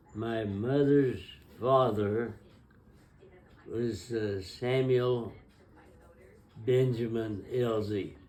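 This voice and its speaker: A man with a dark, mellow tone and medium pitch talks at a very slow pace with long, frequent pauses and audible room echo. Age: 90s. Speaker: grandfather telling family history. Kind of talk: oral history interview. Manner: halting.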